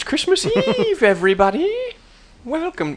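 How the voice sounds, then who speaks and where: A female-sounding voice, high in pitch and at a moderate pace, performs a put-on character voice. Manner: spooky.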